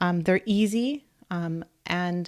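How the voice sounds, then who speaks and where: A soft-spoken woman with a fairly low pitch and ordinary pitch variation is heard on a very clean recording with a silent background. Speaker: blogger and online business coach. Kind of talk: live stream tutorial. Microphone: microphone held very close.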